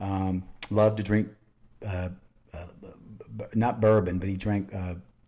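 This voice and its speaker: A man with a Southern US accent, fairly low in pitch, with a dark, mellow tone, a fairly slow pace, monotone, flat intonation and big swings in loudness. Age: 60s. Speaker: podcast host, cancer patient. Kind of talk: casual chat. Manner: halting.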